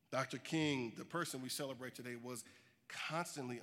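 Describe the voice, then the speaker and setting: A man speaks at medium pitch in an unremarkable speaking voice. His pitch variation is ordinary. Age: 40s. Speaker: social justice advocate. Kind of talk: keynote speech. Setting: stage with audience.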